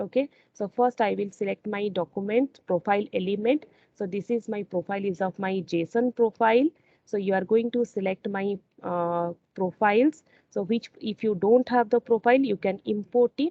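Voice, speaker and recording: A woman talks in an unremarkable speaking voice at medium pitch. Her pace is moderate and her pitch variation ordinary. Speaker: software integration trainer. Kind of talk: tutorial.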